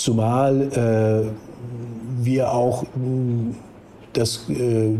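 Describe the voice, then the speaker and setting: A man at a medium pitch, with audible room echo. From northern Germany, near Hamburg. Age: 60s. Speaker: recovered Covid-19 patient. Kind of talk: phone interview. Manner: halting.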